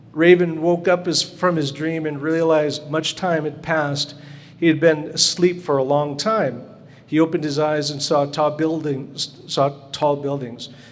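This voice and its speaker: Audible room echo surrounds a man speaking at a fairly slow pace. His fairly high pitch holds a monotone, flat intonation. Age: 60s. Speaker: glass sculpture artist. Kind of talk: reading aloud; lecture.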